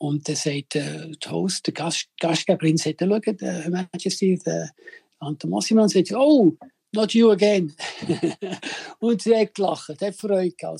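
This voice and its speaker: Speaking at a fairly slow pace with long, frequent pauses, a man with a high pitch and a dark, mellow tone comes through in a dry, close sound with no echo. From Switzerland. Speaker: chef. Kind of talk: phone interview.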